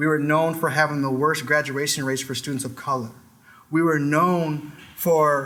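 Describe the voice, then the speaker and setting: In a room with audible echo, a man talks in a fairly high pitch with monotone, flat intonation. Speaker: business founder giving a talk. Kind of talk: presentation talk. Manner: fast; passionate.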